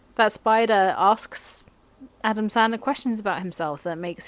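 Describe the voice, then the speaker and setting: A woman at a moderate pace, her pitch varying in an ordinary way, with music in the background. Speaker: film video essayist. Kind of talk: casual film review monologue.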